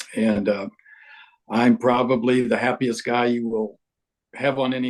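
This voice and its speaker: A man speaks at a moderate pace. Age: 70s. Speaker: sales training consultant. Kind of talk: interview.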